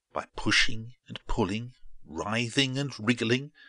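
Here someone reads aloud in a natural voice.

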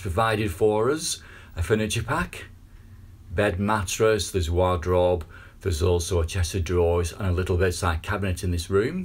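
This man's voice is very deep and low, somewhat breathy, moving at a moderate pace with ordinary pitch variation. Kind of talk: property tour narration. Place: home room. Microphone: phone near.

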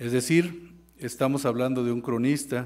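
Against a quiet background, a man of medium pitch speaks at a moderate pace. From Mexico. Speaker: university professor giving a laudatory speech. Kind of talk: formal ceremonial speech. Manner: formal. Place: hall. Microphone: podium.

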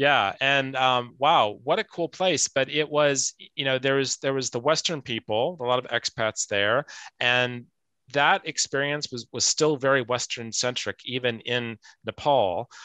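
Against a quiet background, a man's bright, sharp voice moves at a fairly slow pace, sounding dry with no echo. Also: ordinary pitch variation. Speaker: talk show host. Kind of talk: moderated interview show. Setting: video call. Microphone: video call.

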